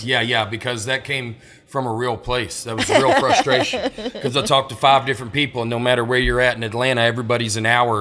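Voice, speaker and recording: Over noticeable background noise, a man with a Southern US accent talks very fast in a monotone, flat way. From Alabama. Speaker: stand-up comedian. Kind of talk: podcast interview answer. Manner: fast, high-energy.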